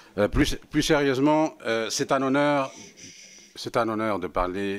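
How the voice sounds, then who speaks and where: A man speaks with a Spanish accent. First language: Spanish (speaking French). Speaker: senior EU official. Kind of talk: formal testimony to parliament. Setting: parliamentary committee hearing. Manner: halting, many hesitations.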